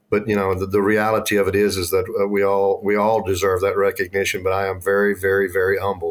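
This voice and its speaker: Speaking very fast with a Texan accent, a man talks in a fairly low pitch with monotone, flat intonation. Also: hardly any pauses. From Texas, north of Dallas-Fort Worth. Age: 50s. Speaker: school transportation director. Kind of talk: podcast interview. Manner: halting, many fillers and repeats.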